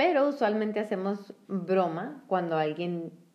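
A woman with a normal speaking voice talks at a fairly slow pace. Her pitch is medium and her intonation lively. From northern Mexico (San Luis Potosí, Monterrey). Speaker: podcast co-host. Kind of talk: casual chat.

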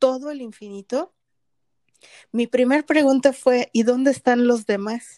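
A woman speaks in a Mexican accent, high-pitched yet dark and mellow in tone. The sound is dry and close, with no echo. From Mexico. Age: 50s. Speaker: podcast co-host, spiritual coach. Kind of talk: casual conversational podcast.

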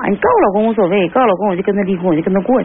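Noticeable background noise fills this recording. Over it, a woman speaks at a medium pitch. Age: 40s. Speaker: caller. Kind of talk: call-in advice. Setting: phone call. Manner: halting.

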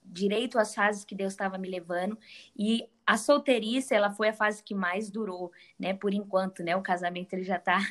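A woman with a plain, everyday voice. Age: 20s. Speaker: author and women's ministry leader. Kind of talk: casual chat.

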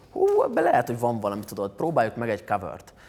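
A man is speaking. His pace is very fast. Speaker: singer and former tennis player. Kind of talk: interview chat.

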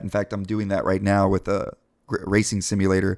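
A man with an American accent has a plain, everyday voice at a fairly low pitch. He talks at a fairly quick pace in a very clean recording with a silent background. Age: 30s. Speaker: company representative. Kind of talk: casual chat.

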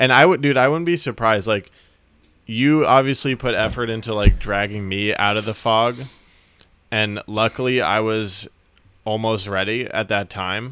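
Bright and sharp in tone, a man speaks at a medium pitch. His pace is moderate and his pitch varies in an ordinary way. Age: 20s. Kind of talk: casual chat. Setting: video call.

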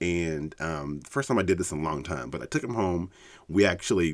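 Very deep and low, a man's voice shows vocal fry as he speaks at a fairly quick pace. The recording is very clean, with a silent background. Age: 40s. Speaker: podcast host. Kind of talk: personal conversation. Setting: studio. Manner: halting.

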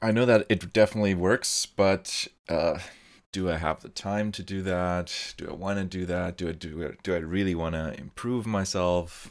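A man with a German accent and a very deep, low pitch speaks at a moderate pace with fairly even intonation and big swings in loudness, in a very clean recording with a silent background. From Germany. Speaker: podcast host. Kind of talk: casual chat.

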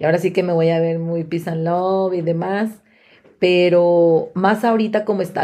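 A woman talks fairly slowly at a medium pitch, her tone dark and mellow and her intonation fairly even. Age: 30s. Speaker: podcast co-host. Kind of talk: casual chat.

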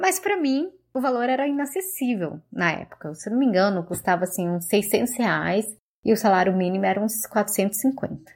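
A woman speaks at a moderate pace with ordinary pitch variation in a normal speaking voice. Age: 30s. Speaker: journalist. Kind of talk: recorded testimony.

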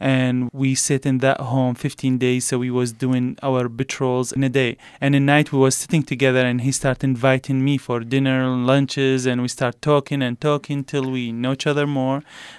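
With an Iraqi accent, a man speaks at a medium pitch and a moderate pace in monotone, flat intonation, with hardly any pauses. The very clean recording has a silent background and a dry, close sound with no echo. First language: Arabic. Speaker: former military translator. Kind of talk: interview.

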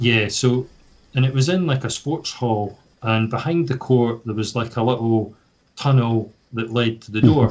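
A man with a Scottish accent, medium pitch, somewhat breathy, at a moderate pace with fairly even intonation. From Scotland, Fife. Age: 40s. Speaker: badminton player. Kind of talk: casual chat.

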